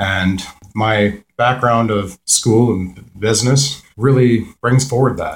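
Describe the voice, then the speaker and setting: Somewhat breathy, a man with a Canadian accent speaks with fairly even intonation. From Peterborough, Ontario, Canada. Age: 30s. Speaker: municipal election candidate. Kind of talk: radio interview. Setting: radio studio.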